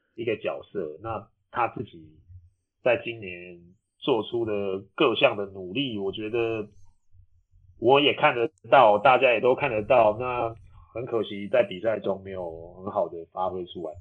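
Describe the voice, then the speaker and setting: At a fairly slow pace, a man with a medium pitch talks with ordinary pitch variation and big swings in loudness. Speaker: professional basketball player and podcast host. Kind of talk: casual chat. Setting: remote recording from a hotel room.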